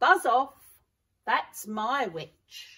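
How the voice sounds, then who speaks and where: A woman's put-on character voice, shrill, growling and croaky, pitched high. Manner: menacing, gruff.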